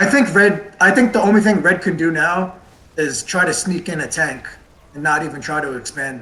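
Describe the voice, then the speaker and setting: There is noticeable background noise behind this man. His voice sits high in pitch, with lively intonation. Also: moderate pace. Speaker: esports caster. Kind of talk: live commentary.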